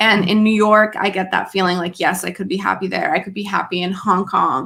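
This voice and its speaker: Vocal fry colors this fairly quick delivery, which shows ordinary pitch variation. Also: woman. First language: French. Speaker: live stream panel guest. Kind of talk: casual chat. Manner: hesitant, many fillers.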